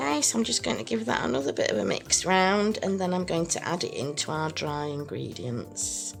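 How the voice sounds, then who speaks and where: Over music in the background, a woman with a very deep, low voice talks at a fairly quick pace, her pitch swinging very widely. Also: hardly any pauses. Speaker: soap and cosmetics maker. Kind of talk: tutorial talk to camera.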